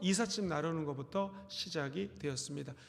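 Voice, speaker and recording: A man speaks at a moderate pace. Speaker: pastor. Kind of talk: sermon. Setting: church.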